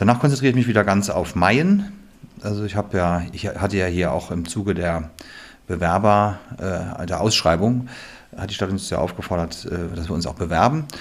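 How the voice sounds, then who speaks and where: A man speaks in a plain, everyday voice. His pitch is fairly low, with ordinary pitch variation. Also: moderate pace. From western Germany. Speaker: theatre director. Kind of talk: casual interview.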